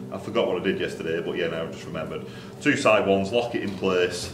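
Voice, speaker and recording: A man races along at a very fast pace while noticeable background noise plays behind him. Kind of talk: tutorial. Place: workshop.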